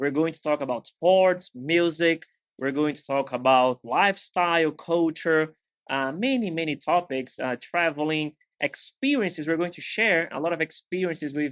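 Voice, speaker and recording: The speech moves at a moderate pace with ordinary pitch variation and big swings in loudness. The recording is very clean with a silent background and a dry, close sound with no echo. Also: man, fairly high pitch for a man. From Brazil. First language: Portuguese. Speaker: podcast host, English teacher. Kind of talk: casual chat.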